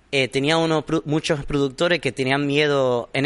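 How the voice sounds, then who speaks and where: A man's fairly high-pitched voice is heard against a quiet background. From Miami, US, Cuban-American family. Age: young. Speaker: magician. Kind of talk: interview. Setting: theater studio. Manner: relaxed.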